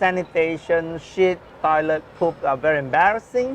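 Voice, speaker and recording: With ordinary pitch variation, a man speaks at a fairly high pitch against noticeable background noise. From Singapore. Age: 60s. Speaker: social entrepreneur. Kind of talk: interview.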